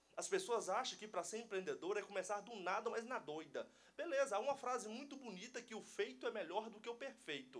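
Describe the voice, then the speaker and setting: Moving at a fairly quick pace with hardly any pauses, a man speaks in a high pitch with lively intonation. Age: 20s. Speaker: entrepreneur, church member. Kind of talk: casual chat.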